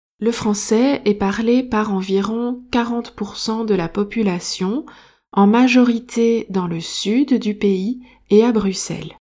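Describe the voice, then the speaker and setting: Very slowly and with fairly even intonation, a woman speaks at a fairly high pitch in a dark, mellow tone. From Belgium. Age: 30s. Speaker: French teacher and podcast host. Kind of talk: language-learning podcast monologue. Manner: clear.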